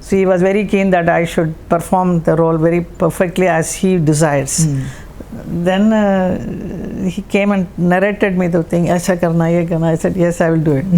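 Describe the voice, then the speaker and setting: Against noticeable background noise, a woman talks at a moderate pace with a fairly low pitch, very even loudness and fairly even intonation. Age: 70s. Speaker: actress. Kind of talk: interview answer.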